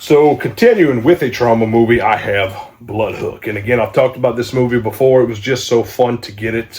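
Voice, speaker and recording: A man speaks over noticeable background noise. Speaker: channel host, horror movie collector. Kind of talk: casual video review of movie collection. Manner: casual, hesitant with fillers.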